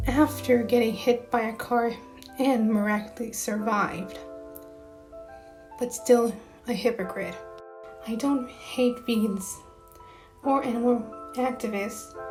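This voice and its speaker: Music plays in the background as a soft-spoken woman talks at a fairly high pitch and a fairly slow pace. Her intonation is monotone and flat, with long, frequent pauses. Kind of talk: casual rant to camera. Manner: quiet, soft-spoken; hesitant, with stutters and long pauses.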